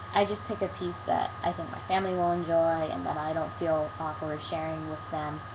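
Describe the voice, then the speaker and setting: A woman's very deep, low voice at a moderate pace, with very wide pitch swings, hardly any pauses and noticeable background noise. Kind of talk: casual talk to camera. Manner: stutters and pauses a lot.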